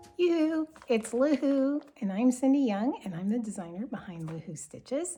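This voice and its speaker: Pitched high, a woman speaks with very wide pitch swings and big swings in loudness. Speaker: cross stitch designer and craft vlogger. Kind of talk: casual vlog talk. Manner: casual, with fillers.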